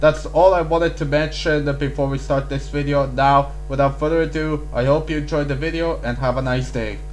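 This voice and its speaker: A man talks at a fairly quick clip with hardly any pauses. Music plays behind him, and room echo is audible. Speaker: YouTube theory creator. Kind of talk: casual video commentary. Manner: halting with frequent fillers.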